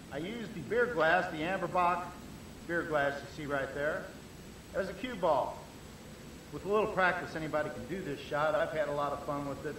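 Clear background noise sits under this voice. Its delivery is fairly brisk, and the pitch rises and falls in a normal way. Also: man, high pitch for a man. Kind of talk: demonstration commentary. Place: hall. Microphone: old recording.

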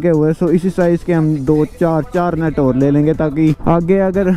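A man at a moderate pace with fairly even intonation, dry with no echo, music playing in the background. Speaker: motovlogger. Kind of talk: casual vlog chat. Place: street. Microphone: helmet.

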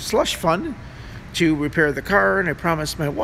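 A man is talking at a moderate pace. Light background noise sits behind him. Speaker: airport night worker vlogger. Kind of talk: casual vlog chat. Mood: frustrated about car repairs. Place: station. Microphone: phone near.

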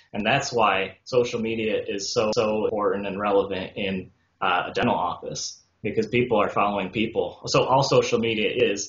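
A man talks at a moderate speed, and room echo can be heard on his voice. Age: 20s. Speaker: dentist; guest. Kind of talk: interview. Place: home room. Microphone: video call.

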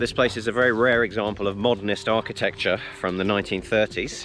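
A man at a fairly low pitch with ordinary pitch variation, moving at a fairly quick pace over clear music in the background. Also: dry sound with no echo. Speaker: travel vlogger. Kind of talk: casual vlog chat. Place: open country. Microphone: phone near.

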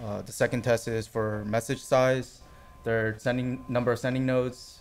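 Over light background noise, a man speaks at a moderate pace in a monotone, flat intonation. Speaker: network test engineer; conference presenter. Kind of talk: conference talk. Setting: stage with audience. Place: hall.

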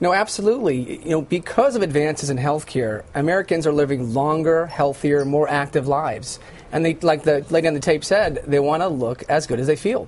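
A man talks at a fairly quick pace with hardly any pauses and ordinary pitch variation, over light background noise. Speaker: guest. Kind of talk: interview answer. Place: studio. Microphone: lapel.

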